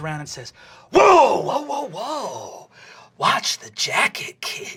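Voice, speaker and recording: A put-on character voice, raspy throughout. It speaks at a very slow pace. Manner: tough, warning.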